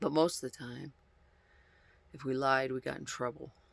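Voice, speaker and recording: A quiet man talks at a moderate pace. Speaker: vlogger. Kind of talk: casual monologue.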